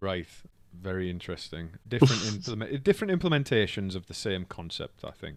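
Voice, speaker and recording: Against a silent background in a very clean recording, a man with a North East England accent speaks fairly quickly at a fairly low pitch, with lively intonation and big swings in loudness. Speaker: comedian, podcast host. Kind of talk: casual podcast conversation.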